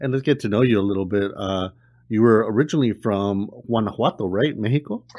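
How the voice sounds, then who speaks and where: A man talks fairly quickly in a normal speaking voice, his pitch fairly low. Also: ordinary pitch variation. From Southern California. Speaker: podcast host. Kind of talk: interview.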